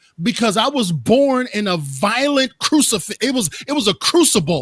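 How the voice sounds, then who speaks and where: A loud man speaks at high pitch in an animated, passionate tone with very wide pitch swings. His pace is moderate, and the sound is dry and close with no echo. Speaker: motivational speaker. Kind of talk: interview conversation.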